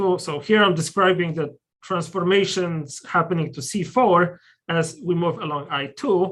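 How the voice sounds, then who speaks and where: The recording is very clean, with a silent background. A man speaks at a high pitch and a moderate pace. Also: ordinary pitch variation. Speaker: mathematician giving a colloquium talk. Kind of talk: lecture. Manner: hesitant, many fillers.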